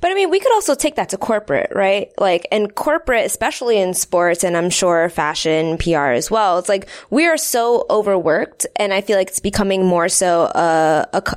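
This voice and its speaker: Lively in her intonation, a woman with a plain, everyday voice speaks at a medium pitch and a moderate pace. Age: 20s. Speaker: podcast co-host. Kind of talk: interview.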